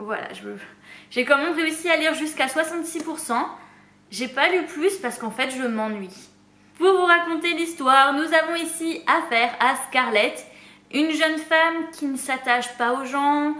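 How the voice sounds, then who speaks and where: Her raised, projected voice sits at a high pitch with a bright, sharp tone. The woman speaks at a fairly slow pace with ordinary pitch variation. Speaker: booktuber. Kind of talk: casual talk to camera.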